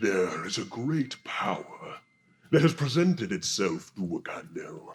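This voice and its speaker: A man puts on a character voice. It sits at a fairly high pitch and moves at a moderate pace. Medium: actual play. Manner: measured, imposing.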